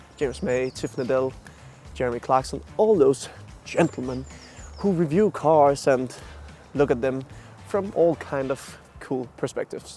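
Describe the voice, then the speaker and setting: Music in the background behind a man with a Danish accent, medium in pitch, fairly slow, with long, frequent pauses. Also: ordinary pitch variation. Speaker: car reviewer. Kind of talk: casual video review narration. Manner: slightly halting.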